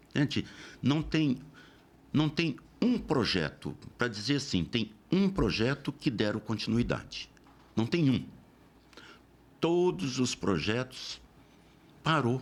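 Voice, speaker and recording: The speaker talks at a fairly slow pace with vocal fry. The pitch swings very widely. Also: man. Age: 70s. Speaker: local politician. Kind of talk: interview.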